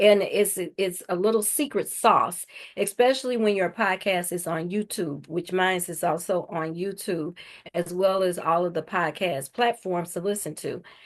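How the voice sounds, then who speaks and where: Against a quiet background, a woman with an ordinary speaking voice and medium pitch talks at a fairly slow pace with ordinary pitch variation. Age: 60s. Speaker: podcast host. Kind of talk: interview.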